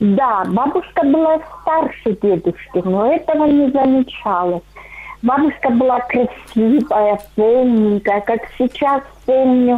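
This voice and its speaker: The voice moves at a very slow pace with lively intonation and very even loudness, against noticeable background noise. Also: woman, high pitch for a woman. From Russian Far East. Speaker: caller. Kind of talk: phone-in storytelling. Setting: phone call.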